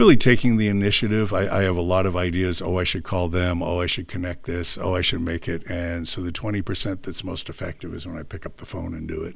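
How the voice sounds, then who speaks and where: A man with an American accent speaks at a very fast pace with hardly any pauses. His very deep, low voice carries audible room echo. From California. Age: 60s. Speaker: business broker. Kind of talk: interview.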